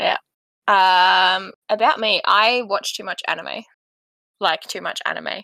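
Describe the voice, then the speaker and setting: Speaking very slowly with long, frequent pauses, a woman in an Australian accent has vocal fry, a bright, sharp tone and big swings in loudness, recorded with a dry, close sound and no echo. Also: medium pitch for a woman, ordinary pitch variation. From Western Australia. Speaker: podcast co-host. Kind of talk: casual chat.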